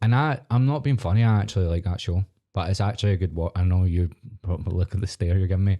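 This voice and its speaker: A man with a Scottish accent speaks at a very fast pace in a very deep, low pitch with a dark, mellow tone and very even loudness. The sound is dry and close with no echo, in a very clean recording with a silent background. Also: ordinary pitch variation. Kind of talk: casual podcast conversation.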